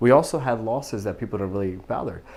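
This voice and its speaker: In a very clean recording with a silent background, a man talks at a very fast pace. He has an American accent, a medium pitch and ordinary pitch variation. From Pakistan, moved to the US as a child. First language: Urdu / Punjabi. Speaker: physical therapist. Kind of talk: interview testimony.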